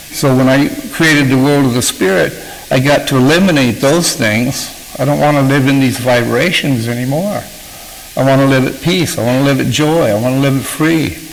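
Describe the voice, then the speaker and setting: A man with a medium pitch speaks at a fairly quick pace, with ordinary pitch variation and very even loudness. The room echo is audible, and there is noticeable background noise. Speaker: author and recovery speaker. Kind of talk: talk to a recovery group. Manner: halting, with many fillers.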